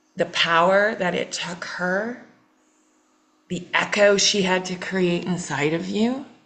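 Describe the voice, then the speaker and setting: A woman talks at a very slow pace in a medium-pitched voice with ordinary pitch variation. Room echo is audible. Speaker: healing coach. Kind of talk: therapeutic coaching session. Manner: repetitive, halting.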